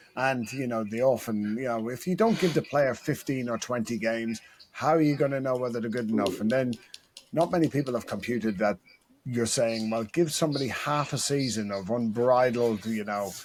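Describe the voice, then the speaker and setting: Speaking with an Irish accent, a man holds a medium pitch and ordinary pitch variation. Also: fairly quick pace. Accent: Irish brogue. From Ireland. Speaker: football coach and podcast co-host. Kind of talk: casual chat.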